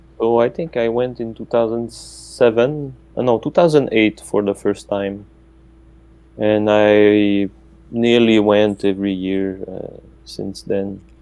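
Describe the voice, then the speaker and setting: Speaking very slowly with a Quebec accent, a man keeps a fairly low pitch and fairly even intonation. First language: French. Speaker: professor. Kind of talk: casual interview.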